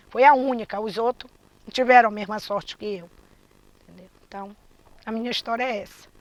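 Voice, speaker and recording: A woman speaks at a fairly quick pace with a fairly high pitch, her loudness swinging widely, broken up by long, frequent pauses. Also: fairly even intonation. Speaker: quilombo community member. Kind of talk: testimony.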